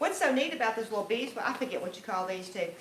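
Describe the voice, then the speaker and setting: A woman with a Louisiana accent, audible room echo and noticeable background noise. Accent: Southern US (Louisiana). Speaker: homesteader and bread baking instructor. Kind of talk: conference workshop talk. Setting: conference room with live audience.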